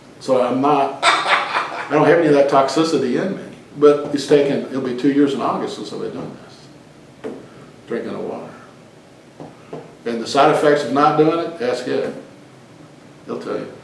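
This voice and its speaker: A man's speech with long, frequent pauses and big swings in loudness, plus audible room echo and noticeable background noise. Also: fairly high pitch for a man, fairly even intonation, moderate pace. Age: 60s. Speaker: lay preacher leading a group talk. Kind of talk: informal teaching in casual group discussion. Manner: casual, conversational.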